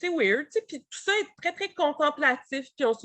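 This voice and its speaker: A woman with a Quebec accent, lively intonation, and a quiet background. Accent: Québécois French. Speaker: publisher representative. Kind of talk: book presentation. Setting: webinar. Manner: fast; hesitant, many fillers.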